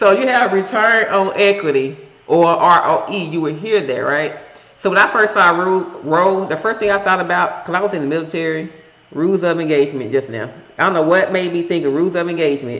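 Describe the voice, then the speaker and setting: Someone with a Southern US accent speaks at a fairly quick pace over noticeable background noise. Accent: country Southern. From Tennessee. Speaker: stock research YouTuber, military veteran. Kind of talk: tutorial. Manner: casual, conversational.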